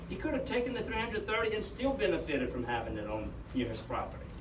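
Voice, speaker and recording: The speech comes very fast, with noticeable background noise and audible room echo. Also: man. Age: 60s. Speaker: judge. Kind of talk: public meeting presentation.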